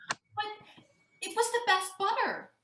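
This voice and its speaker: A woman puts on a squeaky character voice at an extremely high pitch. The sound is dry and close, with no echo. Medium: stage play. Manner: contrary, deadpan.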